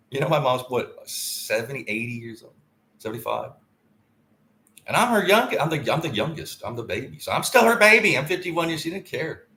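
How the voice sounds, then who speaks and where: A fairly high-pitched male voice at a fairly quick pace, bright and sharp in tone, with very wide pitch swings and big swings in loudness. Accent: Southern US. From US South, Tennessee. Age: 50s. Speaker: podcaster. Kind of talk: casual monologue. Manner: rambling, halting.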